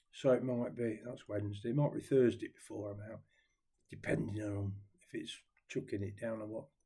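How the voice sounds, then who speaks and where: The man speaks in an East Midlands accent at a moderate pace. His tone is dark and mellow, and somewhat breathy. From Nottingham, England. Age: 70s. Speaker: ukulele vlogger. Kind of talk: casual chat. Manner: rambling, hesitant with fillers.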